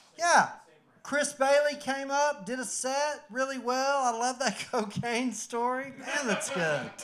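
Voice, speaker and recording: This man's pitch sits extremely high, with ordinary variation, and he talks at a fairly slow pace. Audible room echo and noticeable background noise surround him. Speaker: comedian. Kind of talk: stand-up. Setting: stage with audience.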